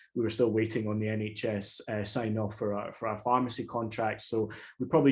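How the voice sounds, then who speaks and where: The intonation is monotone and flat. A man speaks at a fairly quick pace. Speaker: startup founder. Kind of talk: webinar panel talk. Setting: online webinar. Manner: hesitant, many fillers and repetitions.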